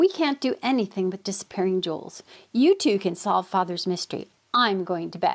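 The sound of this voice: In an unforced reading voice, the speaker uses lively intonation.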